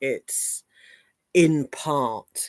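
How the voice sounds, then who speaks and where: This woman speaks with an English accent. Her pitch is very deep and low. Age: 50s. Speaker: live streamer. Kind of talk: casual chat. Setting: livestream.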